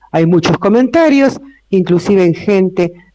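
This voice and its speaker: A man with an Argentine accent speaks in a dark, mellow tone, recorded with a dry, close sound and no echo. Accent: Rioplatense Argentine Spanish. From Argentina, Buenos Aires city. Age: 60s. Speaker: lawyer and notary, invited speaker. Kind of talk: public talk to a live audience. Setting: room with live audience.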